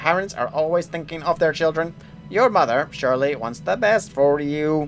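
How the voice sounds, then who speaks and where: A put-on character voice at middle pitch and moderate pace, sing-song, with clear music in the background. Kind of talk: reading game dialogue aloud. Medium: game stream. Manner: stilted puppet-like sing-song. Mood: gentle, comforting.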